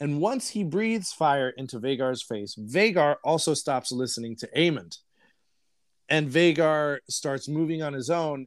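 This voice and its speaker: A man with an American accent speaks at a fairly slow pace in a fairly high pitch, with lively intonation. It's an ordinary speaking voice on a very clean recording with a silent background. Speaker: podcast host. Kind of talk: casual chat.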